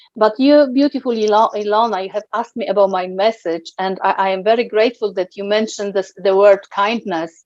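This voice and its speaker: With a Polish accent, a woman talks at a fairly quick pace in a medium pitch, her intonation fairly even and hardly any pauses. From Poland. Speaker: guest interviewee. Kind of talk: interview. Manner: halting.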